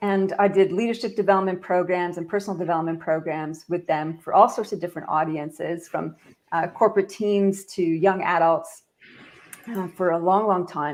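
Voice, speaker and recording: In a Canadian accent, a woman uses a normal speaking voice at a moderate pace and medium pitch, with fairly even intonation. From Canada. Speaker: leadership expert and author. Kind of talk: podcast interview.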